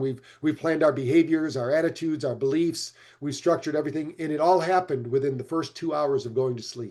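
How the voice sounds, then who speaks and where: Talking very fast, a man has a fairly high pitch and a dark, mellow tone. The background is quiet. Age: 60s. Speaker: brain health expert, company founder. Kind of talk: interview. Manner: animated.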